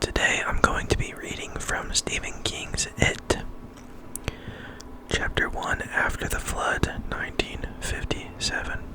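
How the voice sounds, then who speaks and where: The delivery is a whisper at a very slow pace. Noticeable background noise sits underneath. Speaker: ASMR reader. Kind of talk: ASMR book reading. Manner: whispered or soft-spoken.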